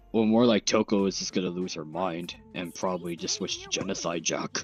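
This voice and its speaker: A man puts on a character voice that is raspy with very deep, low pitch. He moves at a fairly quick pace. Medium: game stream. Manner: hesitant, repetitive.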